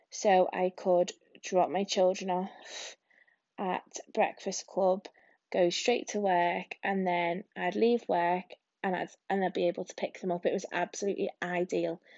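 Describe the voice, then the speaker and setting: In an English accent, a woman speaks with monotone, flat intonation. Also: medium pitch for a woman, fairly slow pace. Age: 30s. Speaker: podcaster, single mum and primary school teacher. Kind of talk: casual solo monologue. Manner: rambling with many hesitations.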